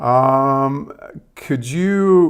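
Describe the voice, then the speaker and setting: With a Serbian accent and lively intonation, a man of medium pitch speaks in a very clean recording with a silent background. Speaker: tech presenter testing AI. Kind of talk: live demo conversation with AI. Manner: halting with fillers.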